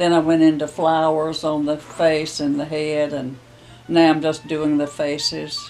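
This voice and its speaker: Over light background noise, a woman speaks at a fairly slow pace with a very deep, low pitch. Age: 80s+. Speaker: painter. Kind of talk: interview answer. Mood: warm, gentle, fond. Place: home room.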